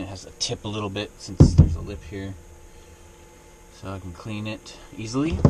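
A man with a fairly low voice talks at a moderate pace over noticeable background noise. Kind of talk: casual vlog chat. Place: home room. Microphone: camera far.

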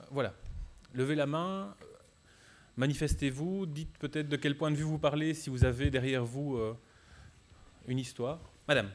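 Speaking at a moderate pace with long, frequent pauses, a man uses a fairly high pitch and ordinary pitch variation. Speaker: debate moderator. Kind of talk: moderated public debate. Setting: stage with audience. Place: hall. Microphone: handheld.

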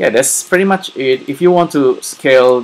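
A man is speaking. His pace is moderate. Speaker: software tutorial narrator. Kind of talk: tutorial.

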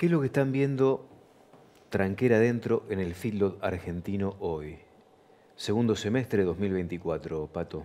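The tone is dark and mellow, with lively intonation. The pace is fairly slow. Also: man, fairly low pitch for a man. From Argentina. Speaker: farm TV host. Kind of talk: interview. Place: studio. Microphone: lapel.

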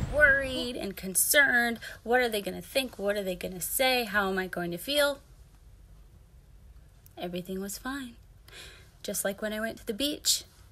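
At a moderate pace, a woman with a fairly high pitch and ordinary pitch variation speaks with long, frequent pauses and big swings in loudness over light background noise. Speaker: vlogger about hair loss. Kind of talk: motivational talk to camera. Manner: laid-back, hippy-like. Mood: upbeat, encouraging. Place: home room. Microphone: phone near.

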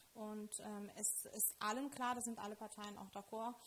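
Over light background noise, a woman speaks in a fairly high, flat, monotone voice. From Lithuania. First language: Lithuanian (speaking German). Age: 30s. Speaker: local politician and teacher; local politician, teacher. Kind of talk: interview; interview answer. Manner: hesitant with many fillers. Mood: calm, earnest. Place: studio. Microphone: handheld.

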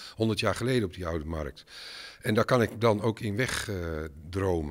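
A man with a very deep, low pitch speaks at a moderate pace over a quiet background. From Netherlands, Enschede (Twente); Netherlands. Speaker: filmmaker. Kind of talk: interview. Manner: halting, many fillers and repetitions. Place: hall. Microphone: handheld.

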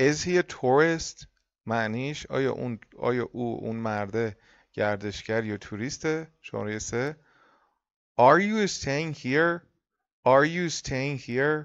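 At a fairly slow pace with long, frequent pauses, a man speaks at a medium pitch with lively intonation. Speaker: English teacher. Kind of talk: lecture.

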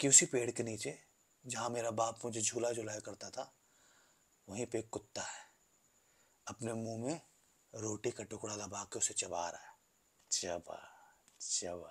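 Speaking at a very slow pace, a man sounds somewhat breathy, with big swings in loudness and long, frequent pauses. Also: ordinary pitch variation. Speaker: actor performing a monologue. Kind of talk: dramatic acted monologue. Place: home room. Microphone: phone near.

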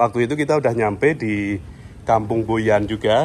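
A man speaks at a fairly quick pace in an unremarkable speaking voice, medium in pitch with ordinary pitch variation, over light background noise. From Indonesia. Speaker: travel vlogger. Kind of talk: walking vlog narration with street interviews. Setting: outdoors. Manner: casual, conversational. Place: street. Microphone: phone near.

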